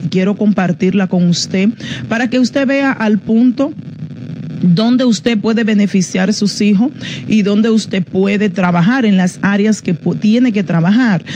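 A woman speaks fairly slowly with light background noise behind her. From Dominican Republic. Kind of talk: teaching on parenting, broadcast live. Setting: radio and Facebook Live broadcast. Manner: informal, halting with fillers. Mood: calm, instructive. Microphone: phone near.

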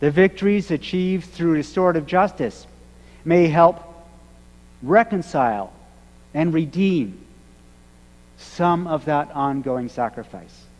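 Pausing often and at length, a man speaks at a fairly slow pace. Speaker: minister. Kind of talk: sermon. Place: church. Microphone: podium.

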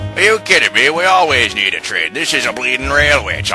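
The pitch swings very widely, with music clearly audible in the background. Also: man, medium pitch for a man, fairly quick pace. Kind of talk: comic overacting. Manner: pompous, jokey, blustering.

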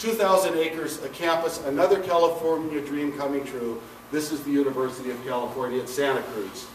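A man speaks with light background noise and audible room echo. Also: ordinary pitch variation. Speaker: retired campus architect. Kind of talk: lecture. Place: hall. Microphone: camera far.

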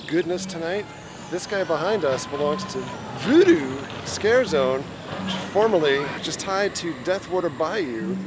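Over noticeable background noise, a man talks at a moderate pace with ordinary pitch variation in a dry sound with no echo. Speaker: theme park vlogger. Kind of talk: casual vlog chat. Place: street. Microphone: phone near.

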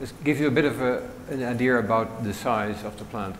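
A man talks at a medium pitch. Light background noise sits behind him. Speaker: automation engineer; conference presenter. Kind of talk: conference talk. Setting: stage with audience. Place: hall. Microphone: lapel.

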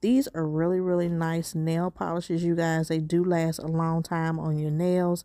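Monotone, flat speech at a moderate pace with a dark, mellow tone, dry sound without echo, and a quiet background. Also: woman. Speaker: shopping vlogger. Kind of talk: casual vlog chat. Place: shop. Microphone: phone near.

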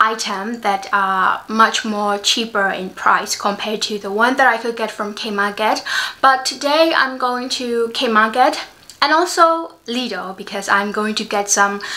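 The woman's delivery is fairly slow. Her pitch moves in an ordinary way. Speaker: vlogger. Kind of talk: casual vlog chat. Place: home room. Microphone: phone near.

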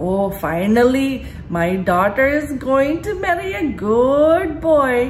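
A put-on character voice with a non-native accent is delivered at a fairly slow pace over clear background noise. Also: woman, high pitch for a woman. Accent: mother's foreign. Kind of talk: sermon. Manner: mimicking.

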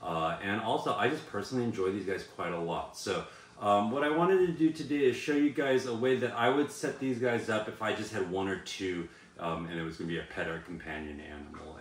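A man speaks at a fairly low pitch. The room adds an audible echo. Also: fairly quick pace. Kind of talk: casual vlog chat. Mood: enthusiastic, upbeat. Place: home room.

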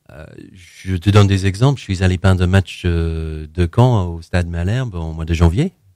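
A man speaks at a moderate pace in a very deep, low voice with a dark, mellow tone. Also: quiet background, dry sound with no echo. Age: 40s. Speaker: painter; interview guest. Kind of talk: interview. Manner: halting, many repetitions and hesitations. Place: studio.

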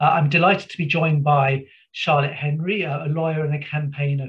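Over a quiet background, a man talks at a fairly quick pace. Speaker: webinar host. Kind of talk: host introduction of guests. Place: home room. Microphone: webcam.

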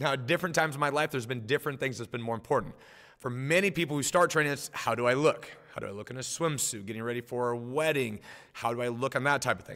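With an American accent, the voice moves at a very fast pace in a bright, sharp tone, showing ordinary pitch variation and big swings in loudness against a quiet background. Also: man, medium pitch for a man. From Nebraska, US Midwest. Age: 40s. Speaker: martial arts instructor. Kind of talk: motivational talk. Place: home room. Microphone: webcam.

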